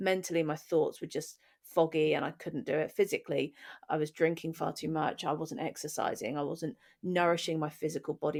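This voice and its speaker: In a British accent, a woman with a very deep, low voice speaks at a fairly quick pace. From England. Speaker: podcast co-host. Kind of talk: casual conversation, personal story.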